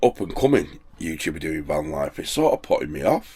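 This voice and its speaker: The speech moves at a fairly quick pace, captured on a very clean recording with a silent background. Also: man. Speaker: van life vlogger. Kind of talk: casual vlog monologue. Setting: in a van by the sea.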